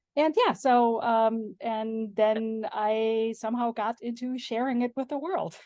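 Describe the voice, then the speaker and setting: This woman has a German accent and a fairly high pitch. She speaks at a fairly slow pace with hardly any pauses and fairly even intonation. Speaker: homemaking and sourdough blogger. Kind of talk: interview.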